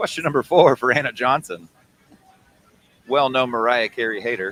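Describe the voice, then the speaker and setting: Heard in a dry, close sound with no echo, a man with an ordinary speaking voice talks at a moderate pace and medium pitch with ordinary pitch variation. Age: 40s. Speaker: interviewer at expo livestream. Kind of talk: casual interview.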